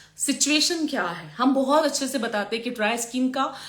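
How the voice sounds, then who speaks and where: Bright, sharp, high-pitched speech from a woman. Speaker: makeup and hair artist and trainer. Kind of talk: live stream Q&A teaching. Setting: social media live video. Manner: hesitant, many fillers.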